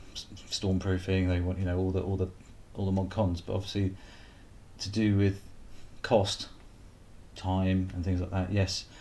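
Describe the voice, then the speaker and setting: With a Sussex accent, a man speaks at a moderate pace. His pitch is very deep and low. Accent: English, East Sussex. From England, East Sussex. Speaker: photographer. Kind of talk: casual vlog talk to camera. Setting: filming himself on camera. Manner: halting, many fillers.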